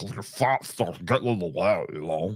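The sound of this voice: A put-on character voice delivered at a moderate pace, it swings widely in loudness. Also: man, medium pitch for a man.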